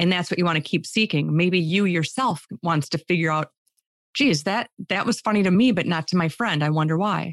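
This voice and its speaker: A woman with an American accent, a plain, everyday voice, fairly low pitch, ordinary pitch variation, very even loudness, and a fairly quick pace, in dry, close sound with no echo. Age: 50s. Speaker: speaker and humor mentor. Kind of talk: interview.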